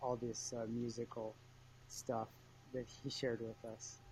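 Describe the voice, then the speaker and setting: A man's somewhat breathy voice moves along at a moderate tempo. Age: 30s. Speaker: small business owner, cyclist. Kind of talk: casual chat. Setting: video call.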